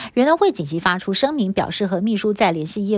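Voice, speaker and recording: Over a very clean recording with a silent background, a woman talks at a fairly quick pace. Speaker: news anchor. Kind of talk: news reading. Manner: formal.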